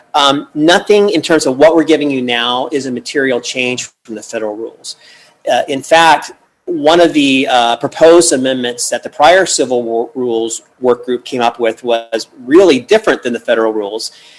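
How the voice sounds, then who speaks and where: The man's voice sits at a medium pitch with ordinary pitch variation. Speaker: task force chair, lawyer. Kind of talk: formal meeting presentation. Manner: fast.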